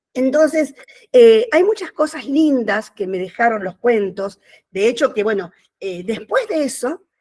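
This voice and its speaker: A woman's high-pitched voice with a dark, mellow tone, lively intonation and a fairly slow pace. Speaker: writer. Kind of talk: inspirational talk.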